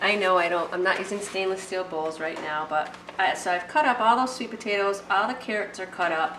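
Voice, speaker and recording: Through noticeable background noise and audible room echo, a woman speaks at medium pitch. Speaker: cooking video host. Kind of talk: cooking tutorial. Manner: fast; casual, chatty.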